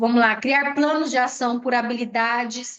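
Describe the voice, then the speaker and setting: This woman has a high-pitched voice. She speaks at a fairly slow pace with fairly even intonation. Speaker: educational trainer. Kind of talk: online training lecture.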